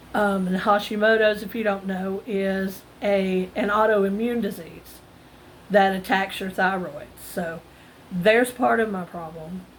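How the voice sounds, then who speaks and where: A woman with an ordinary speaking voice at a fairly slow pace, fairly even intonation and big swings in loudness. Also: medium pitch for a woman. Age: 50s. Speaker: retail self-checkout worker. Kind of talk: casual talk to camera.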